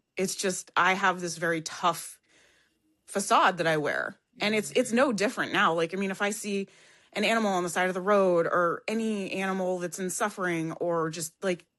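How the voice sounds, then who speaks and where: Loud and bright with a sharp edge, a woman speaks at a medium pitch and a moderate pace with fairly even intonation. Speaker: podcast guest sharing past life regression. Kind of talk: casual conversation.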